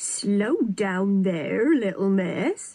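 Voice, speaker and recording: Using a put-on character voice, a woman speaks at a medium pitch with ordinary pitch variation. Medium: read story. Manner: friendly, reassuring.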